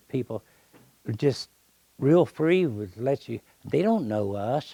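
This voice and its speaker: Captured as a dry, close sound with no echo, a man with an American accent speaks fairly slowly in a dark, mellow tone with ordinary pitch variation. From Indiana, Muncie. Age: 70s. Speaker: landscape painter. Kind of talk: casual talk to an audience. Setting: art club meeting with audience. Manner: halting, with restarts.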